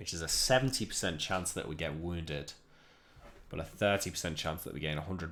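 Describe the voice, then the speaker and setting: With a Liverpool accent, a man talks at a fairly quick pace in a very deep, low voice. His tone is bright and sharp, with vocal fry. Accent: Liverpool (Scouse). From northern England, Liverpool. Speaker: video game streamer. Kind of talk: gameplay commentary.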